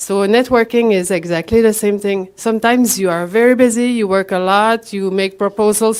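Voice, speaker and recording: With a Quebec accent, a woman speaks at a fairly high pitch and moderate pace, her pitch varying in an ordinary way. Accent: Québécois French accent in English. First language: French. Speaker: promotional products professional, conference speaker. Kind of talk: conference presentation. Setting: stage with audience. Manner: halting.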